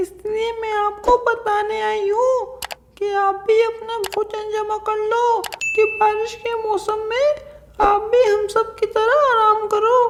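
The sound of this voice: A woman puts on a cartoonish character voice at an extremely high pitch, talking at a fairly slow pace with monotone, flat intonation.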